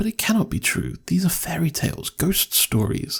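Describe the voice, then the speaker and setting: A man with a dark, mellow tone and a somewhat breathy quality speaks at a moderate pace. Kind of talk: horror story reading. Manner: soft-spoken, whispered.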